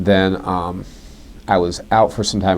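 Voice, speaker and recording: A man is speaking here. His pitch is very deep and low. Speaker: high school speech and debate coach. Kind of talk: interview answer, recounting his history.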